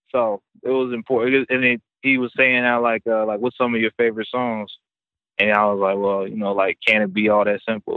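Speaking at a moderate pace with an American accent, a man uses a normal speaking voice at a medium pitch. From Topeka, Kansas (raised partly in Memphis). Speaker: rapper. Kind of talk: casual interview. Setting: phone call.

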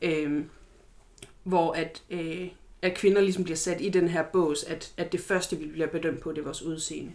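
Speaking at a fairly slow pace, a woman uses a fairly low pitch and a flat, monotone intonation. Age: 30s. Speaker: body positivity activist and student. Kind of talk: interview. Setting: studio with documentary crew present. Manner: halting, many fillers.

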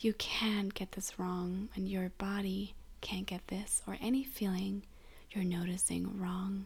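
In a soothing, gentle tone, a woman speaks at a fairly slow pace with monotone, flat intonation. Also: medium pitch for a woman. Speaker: grief support host and guide. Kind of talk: guided meditation (body scan). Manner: slow, soothing, gentle, with long pauses; soft-spoken, calm, tender.

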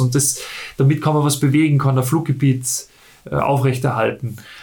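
Audible room echo surrounds a man speaking at a moderate pace. His voice is fairly high in pitch and somewhat breathy, with fairly even intonation. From Austria, Salzburg. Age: 30s. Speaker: paraglider pilot. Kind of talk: interview. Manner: halting.

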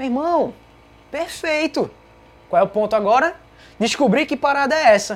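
A woman with a high voice uses an animated tone and lively intonation. She keeps a moderate pace but leaves long, frequent pauses. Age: 20s. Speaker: podcast host. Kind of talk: casual live Q&A.

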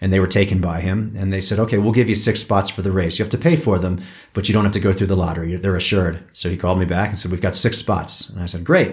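A man's very deep, low voice, somewhat breathy, at a very fast pace with hardly any pauses and fairly even intonation. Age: 50s. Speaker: mountain bike racer. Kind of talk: interview. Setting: in a home.

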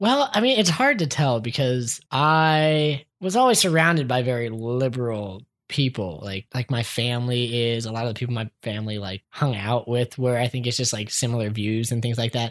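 A man with an ordinary speaking voice talks in an American accent at a moderate pace, in a medium pitch with ordinary pitch variation. He leaves hardly any pauses, and the recording is very clean with a silent background. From Columbia, Maryland, US. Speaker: podcast guest. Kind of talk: casual chat.

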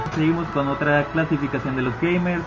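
Over noticeable background noise, a man talks at a fairly quick pace. His voice carries audible room echo. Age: 20s. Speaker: podcast host. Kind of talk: casual chat.

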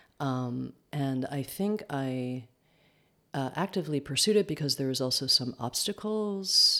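Speaking fairly slowly in a New York accent, a woman uses a very deep, low pitch with a bright, sharp tone and lively intonation, recorded very cleanly against a silent background. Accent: New York American. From US, upstate New York. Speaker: dance teacher. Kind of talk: interview. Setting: home kitchen. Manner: hesitant, many fillers.

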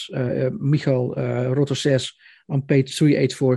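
A somewhat breathy man's voice, dark and mellow, with a Dutch accent, at a fairly slow pace against a quiet background. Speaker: podcast host, music journalist. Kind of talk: interview. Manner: halting.

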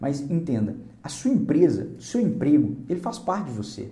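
A man's dark, mellow voice with vocal fry and audible room echo. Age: 30s. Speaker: career coach. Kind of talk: motivational video talk.

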